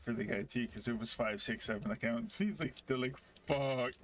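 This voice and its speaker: In an angry tone, a man speaks fairly quickly with a gruff voice at medium pitch. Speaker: gaming streamer. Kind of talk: casual chat. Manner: sounds angry or gruff.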